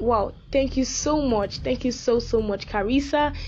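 Noticeable background noise sits behind a woman with a fairly high pitch and an enthusiastic tone. She keeps a moderate pace and ordinary pitch variation. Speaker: radio host. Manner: animated, bubbly; repetitive, enthusiastic.

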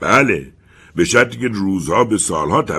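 This is a natural reading voice. The pitch variation is ordinary.

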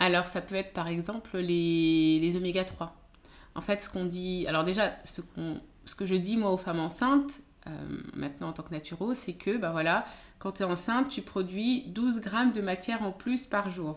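There is a woman speaking in a medium pitch. She keeps a moderate pace with ordinary pitch variation. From France, of Beninese descent. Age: 30s. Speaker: naturopath coach. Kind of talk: interview conversation. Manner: hesitant, many fillers.

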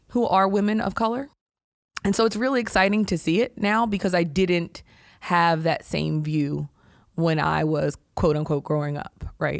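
A woman with an unremarkable speaking voice talks at a moderate pace in a fairly low pitch, her intonation lively. The recording is very clean against a silent background. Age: 40s. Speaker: healthcare executive. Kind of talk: interview.

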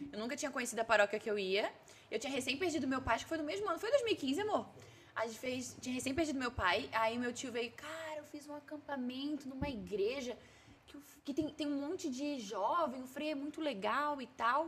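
A woman's high-pitched voice with lively intonation at a fairly quick pace. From southern Brazil. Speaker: social media comedian. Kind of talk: casual chat. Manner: cheerful.

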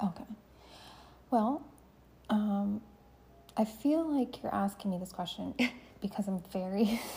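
Somewhat breathy and medium in pitch, a woman speaks fairly slowly with ordinary pitch variation and long, frequent pauses. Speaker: military veteran and podcast host. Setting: home, late at night.

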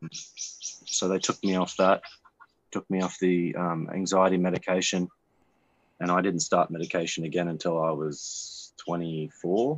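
Fairly even intonation runs through this fairly slow delivery. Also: man, very deep, low pitch for a man. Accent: Australian. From Australia. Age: 20s. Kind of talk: casual chat.

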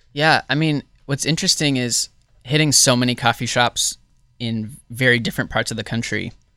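In an ordinary speaking voice, a man talks at medium pitch and a moderate pace with ordinary pitch variation, the sound dry and close with no echo on a very clean recording with a silent background. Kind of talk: casual banter.

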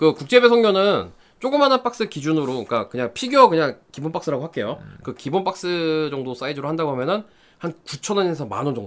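On a very clean recording with a silent background, a man talks very fast at a fairly high pitch, his pitch swinging very widely. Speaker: hobbyist guest segment. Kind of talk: casual chat.

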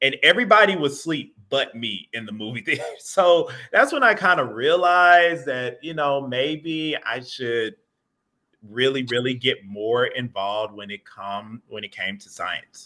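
A man's unremarkable speaking voice with an American accent, medium in pitch, at a fairly slow pace, with lively intonation and big swings in loudness. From US South, Atlanta, Georgia. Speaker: geology professor. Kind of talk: casual interview. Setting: video call from home.

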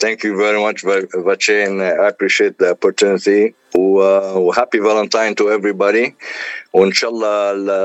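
A man's fairly low voice, monotone and flat, at a fairly quick pace. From Lebanon. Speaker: engineer and singer. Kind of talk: radio interview.

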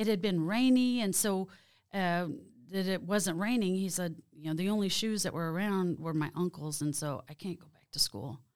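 In a very clean recording with a silent background, a woman with an American accent speaks at a moderate pace and medium pitch, with ordinary pitch variation and big swings in loudness. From Oklahoma, Creek Nation. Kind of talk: interview.

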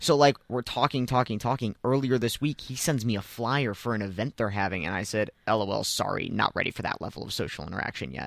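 With vocal fry and ordinary pitch variation, a man at medium pitch rushes along at a very fast pace with hardly any pauses, in a dry, close sound with no echo on a very clean recording with a silent background. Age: 20s. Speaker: college radio host. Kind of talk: casual chat. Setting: studio.

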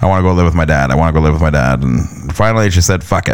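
A man's very deep, low voice with an Ontario accent, ordinary pitch variation and noticeable background noise. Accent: Canadian (Ontario). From Canada, London, Ontario. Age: 30s. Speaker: podcast host, hobby photographer. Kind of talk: personal monologue, life story. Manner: casual, halting with fillers.

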